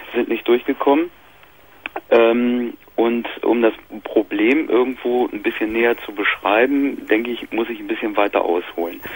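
A man's fairly slow speech with big swings in loudness and a dry sound with no echo. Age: 30s. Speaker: caller.

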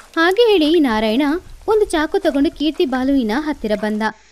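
Speaking fairly quickly, a woman uses a high voice with a slightly mellow tone and big swings in pitch.

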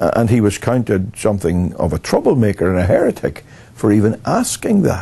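A man speaks with a dark, mellow tone at a fairly low pitch. There is vocal fry, and his pitch swings widely. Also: moderate pace.

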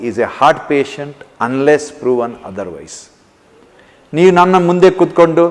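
A plain, everyday voice shows ordinary pitch variation and big swings in loudness. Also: man. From India. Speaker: cardiac surgeon. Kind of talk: health awareness talk.

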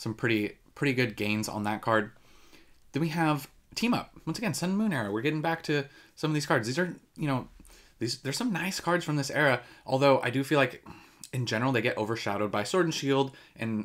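The speech moves at a fairly quick pace against a quiet background. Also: man, lively intonation. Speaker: card collecting channel host. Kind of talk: commentary. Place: home room.

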